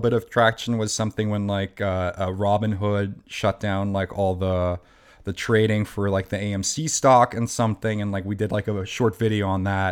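With a German accent, a man speaks at a moderate pace and with fairly even intonation. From Germany. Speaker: comedian. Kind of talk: casual chat. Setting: video call.

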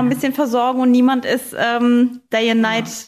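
Here is a woman with a normal speaking voice. Her pitch is fairly high and her pace moderate. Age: 30s. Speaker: podcast host. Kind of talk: casual chat.

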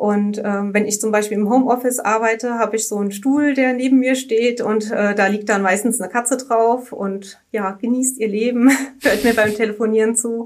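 The delivery is monotone, with flat intonation and a moderate pace. There are hardly any pauses. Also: woman, fairly high pitch for a woman. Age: 30s. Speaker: insurance customer service employee. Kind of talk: interview conversation. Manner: hesitant, many filler words.

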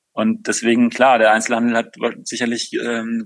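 A man speaks with monotone, flat intonation. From Rhineland, Germany (Overath, Bergisches Land near Cologne). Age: 40s. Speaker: company founder. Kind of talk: interview. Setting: video call. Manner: hesitant, many filler sounds.

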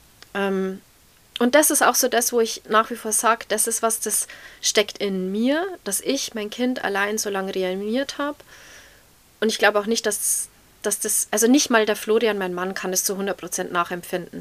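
A woman with an ordinary speaking voice, fairly high pitch, ordinary pitch variation and a moderate pace. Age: 30s. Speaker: mother of a child needing intensive care. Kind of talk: interview.

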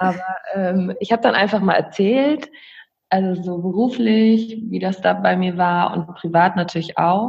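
A woman speaks at a fairly slow pace with a somewhat breathy voice. Her pitch is medium, with ordinary variation. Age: 20s. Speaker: aspiring virtual assistant. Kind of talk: casual interview chat.

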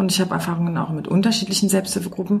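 Room echo and noticeable background noise surround a woman speaking. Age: 30s. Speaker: teacher and researcher. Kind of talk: interview.

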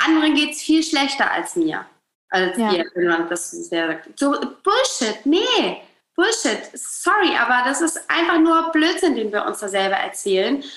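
A woman with a high voice talks fairly slowly, her pitch swinging very widely. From northern Germany, Hamburg. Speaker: relationship coach. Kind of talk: podcast interview.

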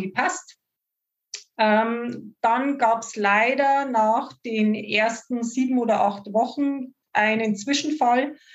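A woman speaks very slowly in a fairly high voice with fairly even intonation. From Upper Palatinate, Bavaria. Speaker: horse owner, client. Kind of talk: interview.

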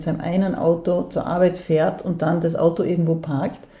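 A woman's fairly low voice at a moderate pace, with audible room echo and noticeable background noise. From Austria, Vorarlberg (Dornbirn). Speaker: theatre director and feminist activist. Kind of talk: interview. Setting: at her home.

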